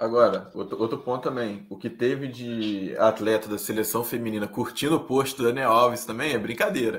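A man speaks in an unremarkable speaking voice at a medium pitch. His intonation stays fairly even, and his pace is moderate. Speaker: podcast co-host. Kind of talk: casual chat.

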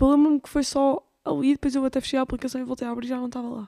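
This woman's voice is high-pitched with a dark, mellow tone. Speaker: podcast host. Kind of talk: casual chat. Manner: halting, many fillers.

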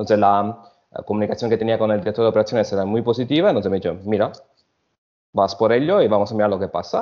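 A man with an Italian accent talks at a very fast pace, his fairly low pitch moving with ordinary variation. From Italy (Sicily). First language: Italian (speaking Spanish). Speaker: hotel food and beverage director. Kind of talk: interview. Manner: halting.

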